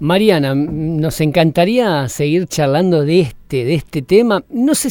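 A man's fairly high, dark and mellow voice with ordinary pitch variation, on a very clean recording with a silent background. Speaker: radio host. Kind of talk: radio interview.

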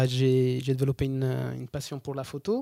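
This man speaks with a fairly high pitch and a dark, mellow tone. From southern Italy, Basilicata. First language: Italian (speaking French). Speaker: photographer and traveller. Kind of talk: interview storytelling. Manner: hesitant, frequent fillers.

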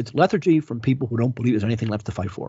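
The speaker is a man with a medium-pitched voice. There is some breathiness to it. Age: 50s. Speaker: historian and author. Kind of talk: interview. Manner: frequent fillers and hesitations.

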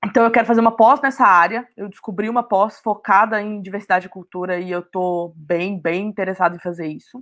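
A woman talks at a medium pitch with ordinary pitch variation. Her loudness swings widely. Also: fairly quick pace, hardly any pauses. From Brazil, Minas Gerais (Belo Horizonte). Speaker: marketing professional at a startup. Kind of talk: casual interview.

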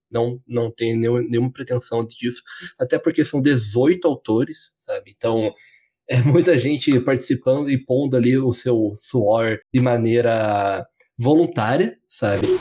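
A man's dark, mellow voice at medium pitch, with ordinary pitch variation and a fairly slow pace, on a very clean recording with a silent background. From southern Brazil, Curitiba. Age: 20s. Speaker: podcast co-host. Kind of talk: casual chat.

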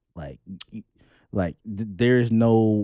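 The speaker is a man with a New York accent. His tone is dark and mellow. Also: dry, close sound with no echo. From New York, the Bronx. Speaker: podcast co-host. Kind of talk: casual chat.

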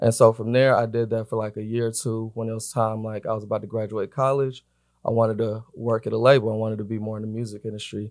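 A man's very fast, flat, monotone delivery at a medium pitch, with an American accent, in a very clean recording with a silent background. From Atlanta, US South. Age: 20s. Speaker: record label influencer marketing director. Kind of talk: casual interview chat.

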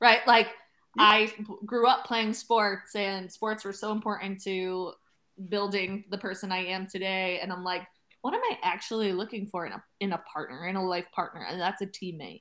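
A woman with an unremarkable speaking voice, medium pitch, moderate pace and fairly even intonation. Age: 30s. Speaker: podcast host. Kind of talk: casual chat.

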